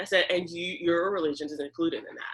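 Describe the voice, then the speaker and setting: A woman with an American accent talks at a very fast pace in a medium pitch. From Richardson, Texas. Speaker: teacher and school board candidate. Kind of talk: interview. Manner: halting.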